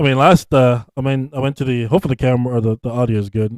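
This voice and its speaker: A man at a medium pitch, talking at a fairly quick pace with fairly even intonation, in a dry, close sound with no echo. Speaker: podcast host. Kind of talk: casual chat. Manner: loud.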